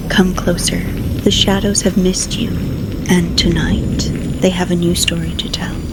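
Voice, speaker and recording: Whispered speech moves at a fairly slow pace. Background noise is noticeable. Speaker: narrator. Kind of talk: horror story narration.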